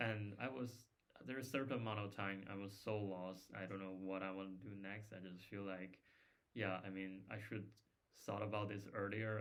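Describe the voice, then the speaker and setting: A man talks at a fairly low pitch and a moderate pace, his intonation monotone and flat. Room echo is audible. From China. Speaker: former master's student, software developer. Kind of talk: casual chat.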